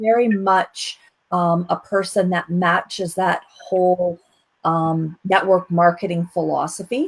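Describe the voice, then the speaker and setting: A woman with an ordinary speaking voice, medium in pitch and fairly slow in pace. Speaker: show co-host. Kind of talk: interview.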